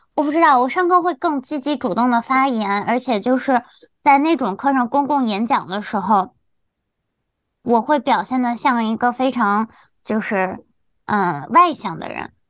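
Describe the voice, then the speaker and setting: A woman talks at a moderate pace with lively intonation and a high pitch. The background is quiet. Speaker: podcast co-host. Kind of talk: casual chat.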